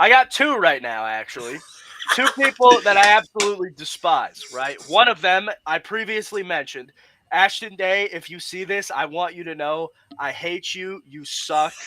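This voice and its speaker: A man speaks in a raised, projected voice that is high for a man, with a bright, sharp tone. His pitch swings very widely and his loudness rises and falls in big swings. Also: moderate pace. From Vermont. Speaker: independent pro wrestler. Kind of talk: casual chat. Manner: animated.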